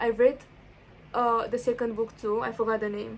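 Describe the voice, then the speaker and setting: This woman has a non-native accent and a fairly high pitch, speaking at a moderate pace. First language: not English. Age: 18. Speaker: book vlogger. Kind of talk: casual vlog chat. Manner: animated, excitable; halting, repeats words.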